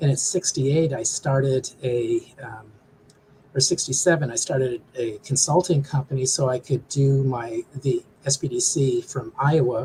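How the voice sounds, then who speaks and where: A man's fairly high voice, somewhat breathy, with a dark, mellow tone, fairly even intonation and a moderate pace. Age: 60s. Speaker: small business development director. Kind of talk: interview. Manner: halting.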